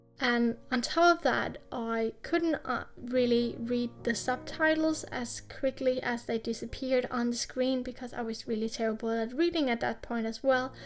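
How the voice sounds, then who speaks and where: Speaking at a moderate pace with a non-native accent, a woman keeps a high pitch and fairly even intonation. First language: not English. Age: 20s. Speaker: YouTube artist. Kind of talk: casual voice-over while drawing.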